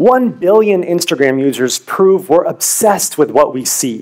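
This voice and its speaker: The pace is fairly slow. Behind it, the background stays quiet. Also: man. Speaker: presenter. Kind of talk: competition research talk. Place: stage. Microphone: headset.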